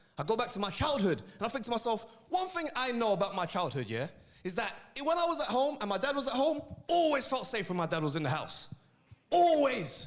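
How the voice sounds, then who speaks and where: With a London accent, a man talks at a fairly quick pace in an extremely high pitch with very wide pitch swings, with audible room echo and noticeable background noise. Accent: London, multicultural London English. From South London. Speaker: comedian. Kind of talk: stand-up. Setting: stage with audience. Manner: animated.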